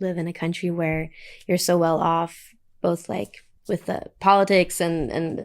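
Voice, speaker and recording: Speaking with a slight American accent, a woman talks at a fairly slow pace and fairly low pitch with ordinary pitch variation, on a very clean recording with a silent background. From Faroe Islands. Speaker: singer-songwriter. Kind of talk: interview.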